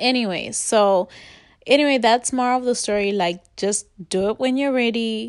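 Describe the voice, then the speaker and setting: In a quiet background, a woman with a plain, everyday voice speaks at a fairly high pitch and moderate pace, her pitch varying in an ordinary way. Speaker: podcast host. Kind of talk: casual chat. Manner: casual, filler-heavy.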